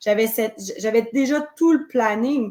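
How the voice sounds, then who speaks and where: A woman with a Quebec accent speaks at a fairly high pitch. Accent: Québécois French. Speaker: witch and spiritual circle leader. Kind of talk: interview. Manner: hesitant.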